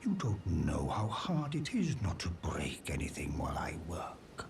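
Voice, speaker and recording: A man whispers in a put-on character voice. Clear background noise can be heard. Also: moderate pace. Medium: video game. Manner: gentle, measured.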